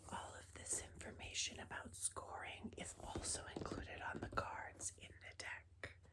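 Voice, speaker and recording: A woman whispers with hardly any pauses. Noticeable background noise is present. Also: fairly slow pace. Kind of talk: ASMR board game show-and-tell. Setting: lo-fi ASMR recording. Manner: whispered, soft-spoken.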